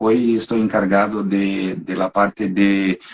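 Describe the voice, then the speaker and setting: A man with a Brazilian accent speaks at a very slow pace. His fairly low voice has monotone, flat intonation. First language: Portuguese (speaking Spanish). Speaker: animal nutrition marketing manager. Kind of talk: technical webinar interview. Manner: halting, hesitant.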